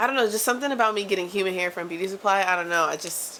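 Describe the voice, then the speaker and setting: At a very fast pace, a woman speaks at medium pitch with ordinary pitch variation against noticeable background noise. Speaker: vlogger, dance educator. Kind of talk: casual vlog monologue. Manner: animated, fast; stutters when worked up.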